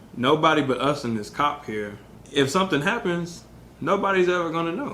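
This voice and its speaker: Audible room echo surrounds a man's voice. He speaks at a moderate pace with lively intonation. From Texas, Wharton County. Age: young. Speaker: engineer sharing personal experience. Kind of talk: interview testimony.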